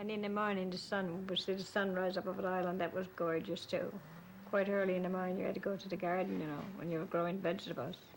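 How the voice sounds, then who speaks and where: Speaking very fast in a Newfoundland accent, a woman keeps a medium pitch and a warm tone with monotone, flat intonation. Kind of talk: interview answer. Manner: warm, reminiscing.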